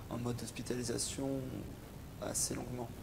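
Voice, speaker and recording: Audible room echo surrounds a man at medium pitch. He talks at a moderate pace in a monotone, flat intonation. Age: 20s. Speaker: psychiatric patient. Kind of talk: testimony. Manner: halting, many hesitations.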